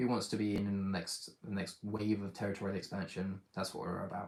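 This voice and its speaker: At a fairly quick pace, a man with a British accent speaks at a fairly low pitch. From Britain. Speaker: micronation leader and channel host. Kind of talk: live stream Q&A. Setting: YouTube live stream.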